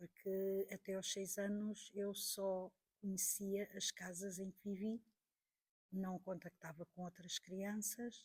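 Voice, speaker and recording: Set in a dry, close sound with no echo, a woman's somewhat breathy, medium-pitched voice moves at a very slow pace with monotone, flat intonation. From Portugal, Porto region. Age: 60s. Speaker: teacher and witness of political history. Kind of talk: interview testimony.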